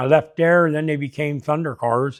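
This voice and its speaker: A man speaks with a Pennsylvania accent. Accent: rural Pennsylvania. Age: 60s. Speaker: car dealer and dirt track racer. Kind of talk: interview.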